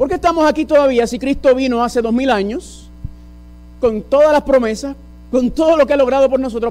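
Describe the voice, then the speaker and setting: Noticeable background noise sits behind a man with an extremely high pitch and an animated tone. He talks at a moderate pace with ordinary pitch variation. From US, New York City, Puerto Rican and Dominican parents. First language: English (speaking Spanish). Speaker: preacher. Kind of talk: sermon. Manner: animated, asks audience questions.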